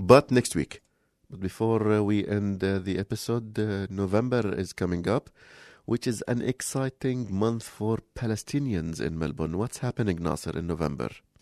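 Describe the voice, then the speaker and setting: The sound is dry and close with no echo, over a quiet background. A man speaks at a moderate pace with ordinary pitch variation. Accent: Arabic. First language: Arabic. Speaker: community radio co-host. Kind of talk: casual chat. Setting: studio. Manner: halting.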